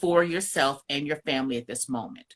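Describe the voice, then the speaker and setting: Loud speech from a woman in a New York accent, bright and sharp in tone, at a moderate pace. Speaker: marriage coach. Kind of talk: casual chat. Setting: live stream. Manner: bold.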